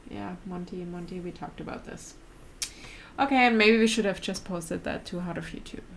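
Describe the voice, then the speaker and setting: Speaking at a fairly quick pace with a German accent, a woman uses a medium pitch and ordinary pitch variation, her loudness swinging widely. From Germany. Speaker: vlogger. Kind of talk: casual chat. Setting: live stream at home.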